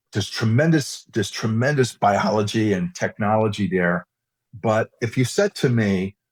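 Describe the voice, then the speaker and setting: A man's fairly low voice with an American accent, an ordinary speaking voice with ordinary pitch variation at a moderate pace, dry and close with no echo in a very clean recording over a silent background. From New York, US. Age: 60s. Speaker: cosmetics scientist and executive. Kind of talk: interview conversation.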